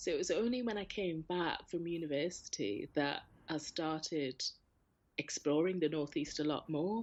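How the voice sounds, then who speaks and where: A woman speaks with a Geordie accent and lively intonation. Her pitch sits fairly low for a woman. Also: moderate pace. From northern England, Newcastle. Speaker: arts sector worker and charity chair. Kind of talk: casual interview chat. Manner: hesitant, repeats words.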